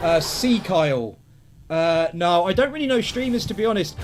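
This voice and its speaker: A man with an English accent talks loudly at a fairly quick pace, his high pitch making very wide swings. Noticeable background noise sits behind him. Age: 30s. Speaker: gaming streamer. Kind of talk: live gameplay commentary. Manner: animated.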